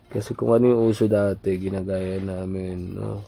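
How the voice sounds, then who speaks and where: A man with fairly low pitch and fairly even intonation, over noticeable background noise. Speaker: drawing hobbyist, vlogger. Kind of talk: casual storytelling vlog.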